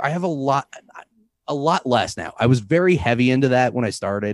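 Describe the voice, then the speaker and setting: Male voice with an American accent, medium pitch and moderate pace, against a quiet background. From US Midwest, St. Louis. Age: 30s. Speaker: comedian and podcaster. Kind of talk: casual chat. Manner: animated.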